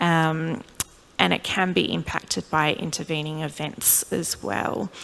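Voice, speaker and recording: An Australian accent at a fairly slow pace, with lively intonation. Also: woman, very deep, low pitch for a woman. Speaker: clinical neuropsychologist. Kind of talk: lecture.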